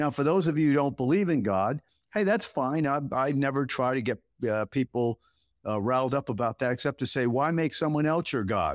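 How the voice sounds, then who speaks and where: Recorded very cleanly with a silent background and a dry, close sound with no echo, a man speaks at a fairly quick pace with very even loudness and ordinary pitch variation. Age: 60s. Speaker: meteorologist. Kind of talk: presentation with slides. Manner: halting with many fillers.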